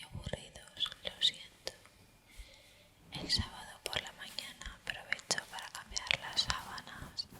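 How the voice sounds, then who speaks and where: Whispering at a very slow pace, a woman's loudness swings widely over noticeable background noise. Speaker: ASMR YouTuber. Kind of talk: casual vlog talk to camera. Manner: whispered, soft-spoken.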